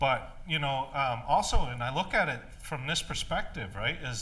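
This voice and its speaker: A man with a bright, sharp tone and fairly high pitch, at a moderate pace with ordinary pitch variation and audible room echo. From Maine, Passamaquoddy community. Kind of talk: panel discussion. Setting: stage with audience. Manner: loud; halting, many fillers.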